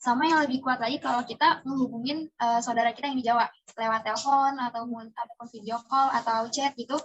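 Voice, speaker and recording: Her voice high, a woman rattles along very fast with hardly any pauses and fairly even intonation. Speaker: interviewee, student. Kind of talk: casual interview.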